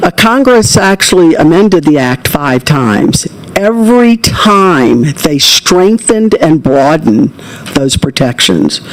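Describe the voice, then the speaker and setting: Noticeable background noise accompanies fairly slow speech with an American accent. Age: 70s. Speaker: public hearing witness. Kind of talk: testimony. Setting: legislative committee hearing.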